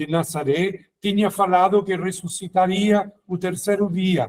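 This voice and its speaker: This man talks at a very slow pace with a non-native accent. His pitch is high. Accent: foreign accent in Portuguese. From Italy, near Rome, raised in Germany. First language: Italian (speaking Portuguese). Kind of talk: formation talk. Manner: halting.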